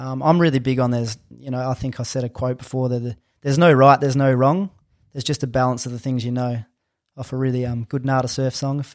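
Speaking very fast with fairly even intonation, a man with an Australian accent talks at a medium pitch in a very clean recording with a silent background. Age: 30s. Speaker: strength coach and personal trainer. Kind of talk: casual interview chat.

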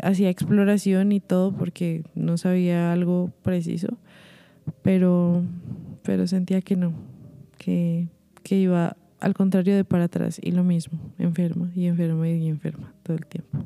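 Speaking at a fairly slow pace, a woman with a fairly low pitch and a dark, mellow tone keeps her intonation monotone and flat. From Colombia. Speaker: singer and vocal coach. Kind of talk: interview.

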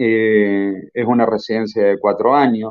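A man speaks at a fairly slow pace with a fairly low pitch. His is an unremarkable speaking voice. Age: 40s. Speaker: medical doctor, geneticist. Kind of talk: lecture-style talk in a live audio chat room. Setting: online audio chat room.

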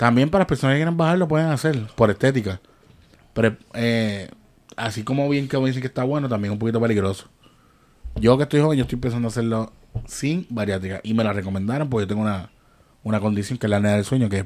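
This man speaks at a very fast pace. His medium pitch shows ordinary variation. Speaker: podcast host. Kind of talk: casual chat.

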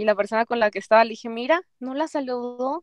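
In a dry, close sound with no echo, a woman speaks at a high pitch with ordinary pitch variation. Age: 20s. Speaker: Instagram influencer and university student. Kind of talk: casual chat.

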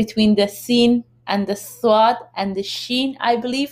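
A woman speaks in an unremarkable speaking voice at a fairly slow pace. Her intonation stays fairly even. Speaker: podcast host. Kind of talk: live stream interview. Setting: Instagram live video stream.

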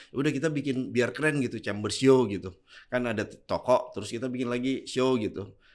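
Fairly quick in pace, a man talks at a medium pitch. His intonation stays fairly even. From Indonesia, Bone (South Sulawesi), Bugis. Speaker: clothing store founder and entrepreneur. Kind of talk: casual interview.

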